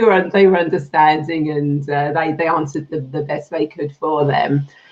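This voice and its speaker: A woman's very deep, low voice in a British accent, at a moderate pace. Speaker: spiritual healer, past life regression therapist. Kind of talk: interview.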